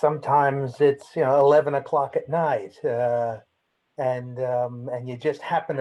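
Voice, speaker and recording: Speaking at a fairly slow pace, a man with an American accent has a fairly high pitch and a monotone, flat intonation. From United States. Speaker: lawyer, former trade negotiator. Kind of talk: self-introduction in webinar. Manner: halting, many fillers.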